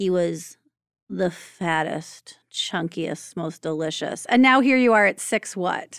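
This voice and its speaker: A woman with a plain, everyday voice speaks at a fairly slow pace and fairly low pitch with ordinary pitch variation, in a very clean recording with a silent background. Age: 40s. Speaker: podcast host and birth doula. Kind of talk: casual chat.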